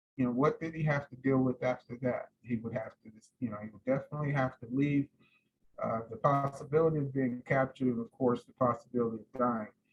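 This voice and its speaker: A very fast, somewhat breathy man's voice with an American accent, fairly even intonation and big swings in loudness. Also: medium pitch for a man. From California (Seaside). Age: 60s. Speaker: descendant speaking on family history, army veteran. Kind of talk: talk. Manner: halting.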